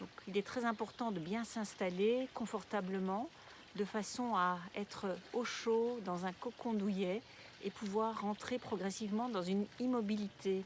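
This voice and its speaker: Her voice is an unremarkable speaking voice: a woman at medium pitch, fairly slow in pace, with fairly even intonation. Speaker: yoga nidra guide. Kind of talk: guided relaxation session. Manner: slow, calm, soothing.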